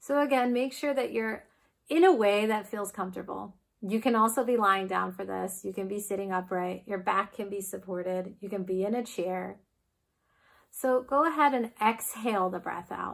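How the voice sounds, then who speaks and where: Here is an ordinary speaking voice from a woman with an American accent. She speaks at a moderate pace and medium pitch, with ordinary pitch variation. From United States. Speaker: yoga teacher. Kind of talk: guided breathwork class.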